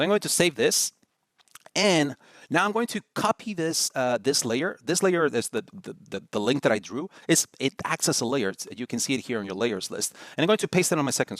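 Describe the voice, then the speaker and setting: A man talks at a fairly quick pace in a fairly high pitch, with vocal fry and very wide pitch swings. The sound is dry and close, with no echo. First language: Spanish. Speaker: design tutorial host. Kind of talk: tutorial. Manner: casual, with many fillers and repeats.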